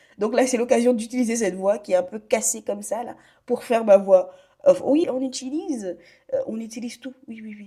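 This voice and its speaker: A woman talks at a fairly quick pace in a dark, mellow tone with a fairly high pitch. Her loudness swings widely. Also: ordinary pitch variation. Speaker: online business content creator. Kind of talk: tutorial.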